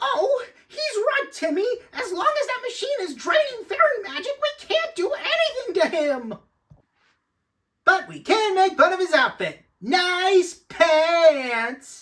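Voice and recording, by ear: Slowly and in a put-on character voice, a man speaks at an extremely high pitch, bright and sharp in tone, with big pitch swings.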